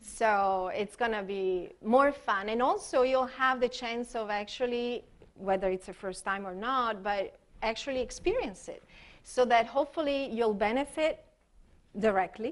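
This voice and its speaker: With an Italian accent, a woman speaks at a fairly slow pace. Her fairly high voice shows ordinary pitch variation. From Italy. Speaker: expressive arts therapist. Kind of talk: workshop presentation. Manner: halting, many fillers.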